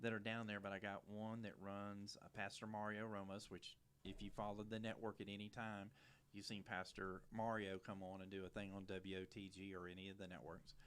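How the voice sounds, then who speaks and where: A man with a Louisiana accent speaks at a moderate pace in a fairly low pitch, his intonation fairly even. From Louisiana, St. Bernard Parish near New Orleans. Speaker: TV show host. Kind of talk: casual interview chat. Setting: studio at a church.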